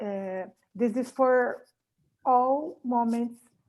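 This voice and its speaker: A woman with a Portuguese accent speaks in a dark, mellow tone with fairly even intonation. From Brazil. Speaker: coaching student. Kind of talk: question in online class. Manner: halting.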